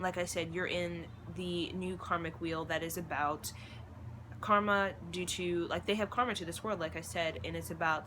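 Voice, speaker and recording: A woman's bright, sharp tone with vocal fry and lively intonation. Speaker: spiritual vlogger. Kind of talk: monologue to camera. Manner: fast.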